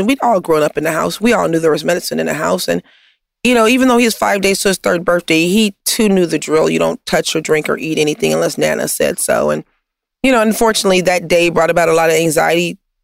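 On a dry, close recording with no echo, a woman speaks very fast with vocal fry and very even loudness. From Compton, Los Angeles. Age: 50s. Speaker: nonprofit founder serving the homeless. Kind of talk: interview conversation.

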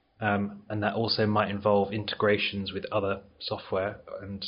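At a moderate pace, a man with an English accent speaks in a fairly low pitch. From England. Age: 30s. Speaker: IT consultant. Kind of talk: interview.

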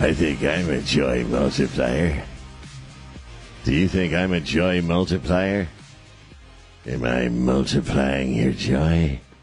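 Clear music plays in the background as a man talks in a put-on character voice. His delivery is fairly slow, with long, frequent pauses. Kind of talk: radio talk show host. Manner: creepy, teasing.

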